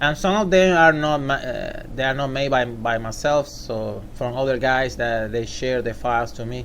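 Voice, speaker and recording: A man with a Puerto Rican accent speaks at a medium pitch and moderate pace with ordinary pitch variation. Audible room echo and noticeable background noise fill the recording. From Puerto Rico. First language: Spanish. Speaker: software tutorial maker. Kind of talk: tutorial. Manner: halting.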